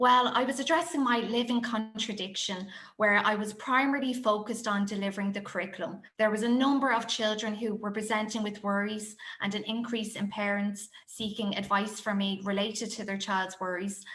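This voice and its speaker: A woman's fairly high, bright and sharp voice in a Dublin accent, fairly quick with hardly any pauses and fairly even intonation, with audible room echo. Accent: Irish (Dublin). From Ireland, Dublin. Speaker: primary school teacher. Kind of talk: conference presentation.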